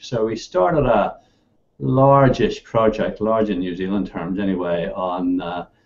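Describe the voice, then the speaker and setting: This man speaks with a Northern Irish accent. His pace is moderate and his intonation lively. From Northern Ireland. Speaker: computer science professor. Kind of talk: interview.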